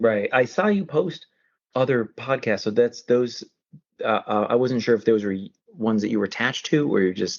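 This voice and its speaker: A man with an American accent at a fairly quick pace, with ordinary pitch variation. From US Northeast. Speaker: horror author. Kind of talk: casual chat. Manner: fast.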